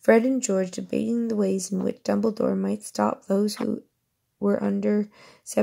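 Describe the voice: Plain reading aloud, heard against a quiet background.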